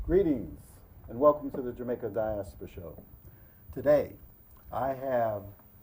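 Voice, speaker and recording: Lively intonation in a dark, mellow, somewhat breathy tone, with big swings in loudness, a fairly slow pace, and long, frequent pauses. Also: man. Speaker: talk show host. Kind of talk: talk show hosting.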